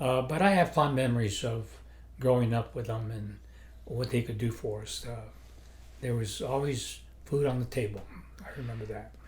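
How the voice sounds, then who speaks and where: A man at a moderate pace with long, frequent pauses, big swings in loudness, and audible room echo. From New Mexico, Las Cruces. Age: 80s+. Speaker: retired judge. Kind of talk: interview. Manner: halting.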